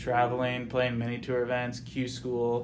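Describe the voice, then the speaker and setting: Audible room echo surrounds a man speaking with an American accent at a medium pitch and a fairly slow pace. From US Pacific Northwest, Edgewood, Washington. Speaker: amateur golfer, club champion. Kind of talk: casual interview.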